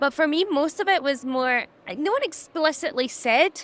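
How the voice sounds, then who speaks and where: Her tone bright and sharp, a woman speaks with very wide pitch swings. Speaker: social media influencer. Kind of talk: interview conversation. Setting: trade exhibition.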